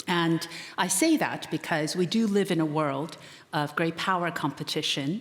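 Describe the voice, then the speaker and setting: An unremarkable speaking voice at a moderate pace. The pitch varies in an ordinary way. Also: woman, fairly low pitch for a woman. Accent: American. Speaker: economist and author. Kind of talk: conference keynote speech.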